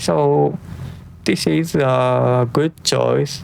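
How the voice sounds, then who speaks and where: Noticeable background noise sits under a man who talks very slowly. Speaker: tech reviewer. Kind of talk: product review. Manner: soft-spoken; halting.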